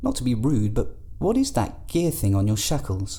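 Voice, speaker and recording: Using a put-on character voice, a man speaks shakily at a moderate pace. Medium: audio drama. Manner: hesitant, quivering.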